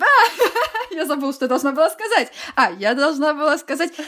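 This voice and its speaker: Very wide pitch swings at a moderate pace, in a very clean recording with a silent background. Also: woman. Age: 20s. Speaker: illustrator and podcast co-host. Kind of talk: casual chat.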